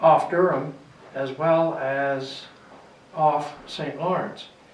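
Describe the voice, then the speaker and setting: A man with a fairly high pitch speaks amid noticeable background noise and audible room echo. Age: 80s+. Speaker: local historian, retired druggist. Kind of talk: interview, reminiscing. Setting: library reading room. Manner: halting.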